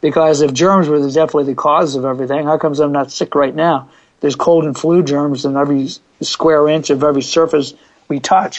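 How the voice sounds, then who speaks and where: A man with an American accent speaks very fast in a fairly high voice. His intonation stays monotone and flat. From US Northeast (Pennsylvania). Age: 60s. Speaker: fitness coach. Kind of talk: interview.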